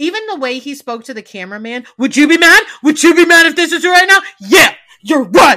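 A woman talks fast in a raised, projected, animated voice, high-pitched with very wide pitch swings. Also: big swings in loudness. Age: 30s. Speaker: podcast host. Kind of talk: casual chat.

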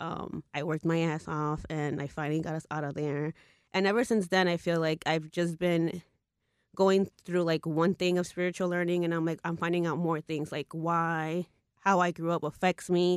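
In a Spanish accent, a woman speaks at a moderate pace with a fairly low pitch and flat, monotone intonation, in a dry, close sound with no echo and a quiet background. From Mexican-American US. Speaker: intuitive psychic and tarot reader. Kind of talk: casual chat.

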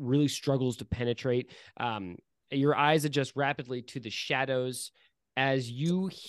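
A passage is read aloud plainly. The intonation stays fairly even against a quiet background.

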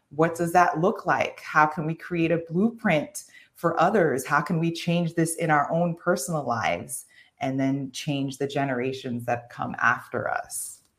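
In a New York accent, a woman speaks at a fairly slow pace with a fairly low pitch and ordinary pitch variation. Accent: New York American. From New York (Haitian American, born in Haiti). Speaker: occupational therapist and transformation coach. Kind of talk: interview.

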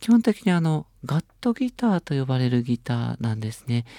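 The man's voice is fairly high in pitch with a dark, mellow tone, moving at a moderate pace in a dry, close sound with no echo. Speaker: radio host. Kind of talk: casual chat.

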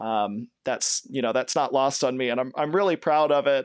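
Against a quiet background, a man with an American accent and fairly high pitch talks with lively intonation in a dry, close sound with no echo. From Kentucky. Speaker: long-distance hiker. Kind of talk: interview. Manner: halting.

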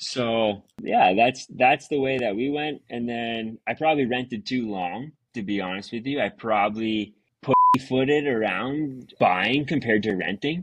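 A man with an Ontario accent, medium in pitch, with ordinary pitch variation. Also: fairly slow pace. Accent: Canadian (Ontario). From Ontario, Canada. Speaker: excavation business owner. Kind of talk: casual interview chat. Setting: remote video call.

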